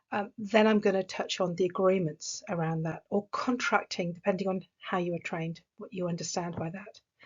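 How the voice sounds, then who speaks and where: A woman of medium pitch speaks at a moderate pace with an English accent. Her intonation is fairly even and her voice somewhat breathy. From England. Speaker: executive coach. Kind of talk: recorded conference talk.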